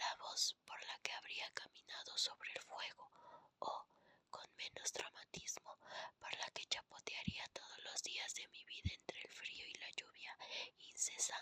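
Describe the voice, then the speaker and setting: A woman whispers at a fairly slow pace. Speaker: ASMR content creator. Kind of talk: ASMR whispered book reading. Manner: whispered, soft.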